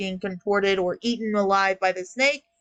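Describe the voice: Fairly even intonation in plain reading aloud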